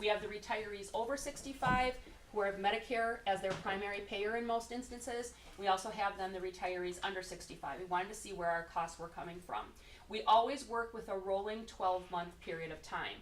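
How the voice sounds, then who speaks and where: A woman talks at a fairly quick pace with medium pitch and ordinary pitch variation. Room echo is audible. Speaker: insurance benefits consultant. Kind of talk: presentation to a city committee. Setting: council meeting room, standing away from table. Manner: loud.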